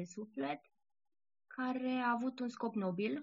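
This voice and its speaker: A woman's fairly high pitch and lively intonation at a very slow pace. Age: 30s. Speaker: blogger and poet. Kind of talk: interview.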